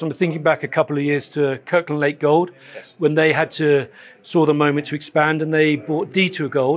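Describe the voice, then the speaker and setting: With music in the background, a man talks at a fairly quick pace in a fairly high, monotone, flat voice. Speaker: interviewer. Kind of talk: interview. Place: studio. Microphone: lapel.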